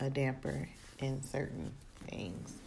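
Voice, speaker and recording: A woman talks at a very slow pace with a very deep, low pitch. Room echo is audible. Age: 30s. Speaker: podcaster and wardrobe stylist. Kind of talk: personal monologue. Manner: hesitant, many fillers.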